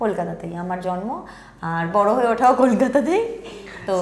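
A woman's voice amid light background noise and audible room echo. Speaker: television actress guest. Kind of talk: interview answer. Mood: cheerful, animated. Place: home room. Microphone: lapel.

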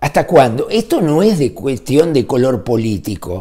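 Against a quiet background, a man with a dark, mellow tone speaks at a fairly slow pace with very wide pitch swings. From Uruguay. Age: 60s. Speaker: weekly newspaper founder and political commentator; weekly newspaper founder, political commentator. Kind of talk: political rant. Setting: at home. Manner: animated. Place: home room. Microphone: phone near.

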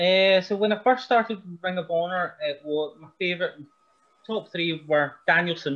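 Big swings in loudness against a quiet background, with ordinary pitch variation and a moderate pace. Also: man, high pitch for a man. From Scotland. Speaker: pro wrestler. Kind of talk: casual chat. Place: home room. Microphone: video call.

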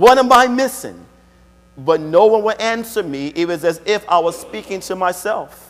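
A man talks at a moderate pace with ordinary pitch variation. His pitch sits high. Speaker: preacher. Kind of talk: sermon. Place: church.

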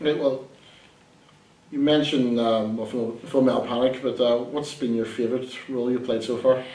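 A man with an Irish accent at a moderate pace, monotone and flat, with audible room echo. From Ireland. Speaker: entertainment interviewer. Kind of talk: casual interview.

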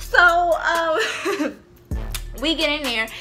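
A woman raises and projects her voice while music plays clearly in the background. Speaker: vlogger. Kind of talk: casual storytime vlog chat. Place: home room. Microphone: camera far.

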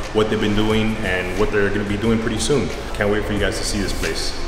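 Clear music plays behind a man who talks very fast in a fairly low, flat monotone, with audible room echo. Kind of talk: casual vlog chat. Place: empty room. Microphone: phone near.

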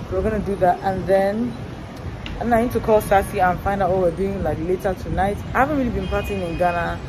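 A fairly quick pace over noticeable background noise. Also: woman, ordinary pitch variation. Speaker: travel vlogger. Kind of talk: casual vlog chat. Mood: relaxed, chatty. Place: street. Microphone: phone near.

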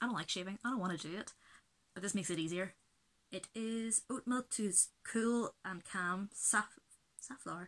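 A woman talks at a moderate pace in a Belfast accent. She takes long, frequent pauses, with ordinary pitch variation. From Belfast, Northern Ireland. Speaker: beauty vlogger. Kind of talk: casual talk to camera. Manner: rambling, chatty. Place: home room. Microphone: webcam.

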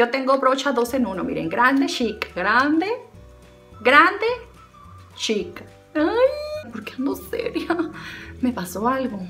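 Over faint music in the background, a woman uses a raised, projected voice at a high pitch and a very slow pace, with a playful tone, very wide pitch swings, big swings in loudness and long, frequent pauses. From Sinaloa, Mexico. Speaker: beauty vlogger. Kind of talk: casual comedic talk to camera. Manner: playful, chatty. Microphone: phone near.

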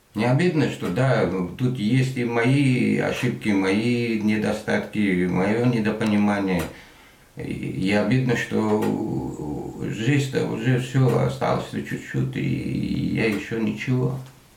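A man speaks at a very slow pace with a fairly low pitch. Audible room echo surrounds the voice. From Afghanistan (Parwan), raised in Russia from age 11; Afghanistan. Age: 40s. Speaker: aircraft mechanic facing deportation; interviewee. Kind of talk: interview. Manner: halting.

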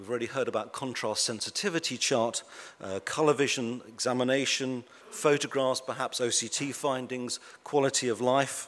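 A man with a Birmingham accent, moderate pace and fairly even intonation. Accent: Birmingham (Brummie) English. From England, Birmingham. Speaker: eye doctor and uveitis researcher. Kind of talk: conference presentation to patients and professionals. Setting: stage with audience. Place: hall. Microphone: podium.

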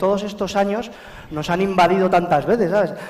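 Here a man speaks with a high pitch. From La Rioja, Spain. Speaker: comedian. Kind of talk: stand-up comedy monologue. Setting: live stage with audience. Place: stage. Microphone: headset.

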